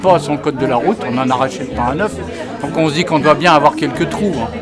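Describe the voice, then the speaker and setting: With music in the background and audible room echo, a man with a fairly high pitch talks at a fairly quick pace with ordinary pitch variation. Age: 60s. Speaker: workshop participant. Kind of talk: testimony.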